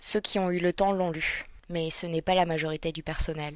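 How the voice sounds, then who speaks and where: Over a very clean recording with a silent background, a woman uses a normal speaking voice at a moderate pace, medium in pitch with fairly even intonation. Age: 20s. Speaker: intensive care nurse. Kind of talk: scripted narration.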